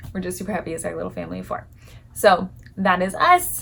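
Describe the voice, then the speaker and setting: This woman is soft-spoken. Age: 30s. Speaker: lifestyle vlogger. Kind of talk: casual vlog talk to camera.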